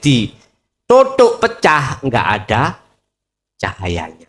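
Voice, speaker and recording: Here a man speaks with a Javanese accent. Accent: Javanese-accented Indonesian. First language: Javanese (speaking Indonesian). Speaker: Islamic preacher. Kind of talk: religious lecture. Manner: casual, code-switching Javanese and Indonesian.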